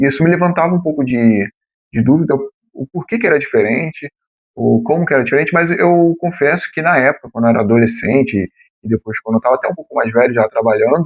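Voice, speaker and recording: A man with a Rio de Janeiro accent speaks very fast in a fairly high pitch with lively intonation. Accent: Rio de Janeiro (carioca). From São Paulo city, Brazil. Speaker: former municipal guard, exam-prep youtuber. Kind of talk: explanatory talk to camera. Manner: casual, with many fillers.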